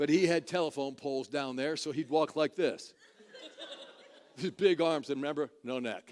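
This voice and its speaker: Speaking at a moderate pace with an animated tone, a man with a fairly high pitch leaves long, frequent pauses. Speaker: preacher / minister. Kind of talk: storytelling to an audience. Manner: animated, humorous, conversational.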